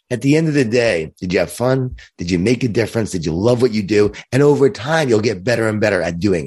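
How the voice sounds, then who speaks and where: Speaking at a very fast pace with hardly any pauses, a man uses lively intonation at a medium pitch. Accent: American. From Long Island, New York. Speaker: leadership speaker and author. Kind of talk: casual interview chat.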